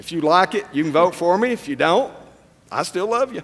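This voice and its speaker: The speaker has a Tennessee accent, a moderate pace, and lively intonation. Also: man. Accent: Southern US (Tennessee). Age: old. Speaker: political candidate. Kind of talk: candidate forum answers.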